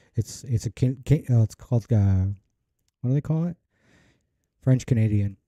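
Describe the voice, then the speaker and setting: A man's somewhat breathy voice at medium pitch, dark and mellow in tone, with ordinary pitch variation, a moderate pace and long, frequent pauses, in a very clean recording with a silent background and a dry, close sound with no echo. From Canada. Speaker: streamer. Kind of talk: casual chat. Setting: live stream.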